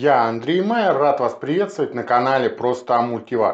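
The pace is moderate. The background is quiet. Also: man. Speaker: cooking channel host. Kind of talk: cooking tutorial intro. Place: kitchen. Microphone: camera far.

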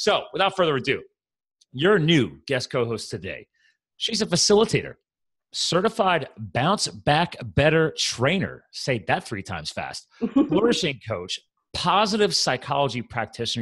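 A man speaks at a moderate pace with vocal fry and very wide pitch swings. The background is quiet. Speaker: podcast host. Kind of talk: podcast host introduction. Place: home room. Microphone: studio mic.

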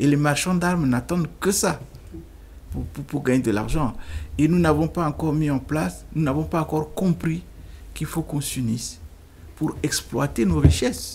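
A man with a fairly high, somewhat breathy voice talks at a moderate pace. His pitch varies in an ordinary way, and he leaves long, frequent pauses. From Central African Republic (Bangui). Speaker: lawyer and former minister; lawyer, former minister. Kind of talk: interview. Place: studio. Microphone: studio mic.

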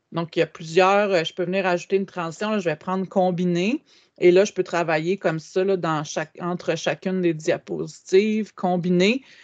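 A woman speaks at a moderate pace with fairly even intonation against a quiet background. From Quebec. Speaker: educational technology trainer. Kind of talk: webinar tutorial. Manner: hesitant with frequent fillers. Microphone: video call.

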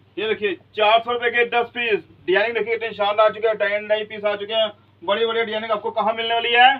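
A fast-talking man with a high pitch and little pitch movement.

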